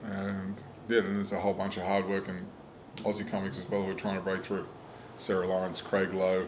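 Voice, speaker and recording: With a strong Australian accent, a man talks at a fairly quick pace and a fairly low pitch, with audible room echo. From rural Australia. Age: 40s. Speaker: stand-up comedian. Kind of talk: casual interview chat. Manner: animated.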